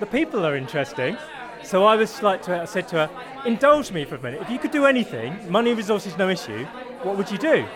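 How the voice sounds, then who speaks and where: A man's high-pitched voice at a very fast pace, full of very wide pitch swings, with crowd noise in the background. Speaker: coach. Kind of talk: interview.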